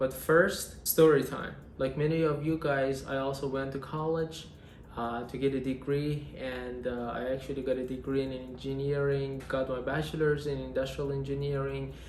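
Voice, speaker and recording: Flat, monotone speech at a moderate pace with a non-native accent, over noticeable background noise. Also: man, medium pitch for a man. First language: Persian. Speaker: industrial engineer. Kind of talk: casual vlog talk to camera.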